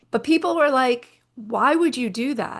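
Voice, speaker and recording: A woman is speaking. Her intonation is lively. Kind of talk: interview. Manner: fast.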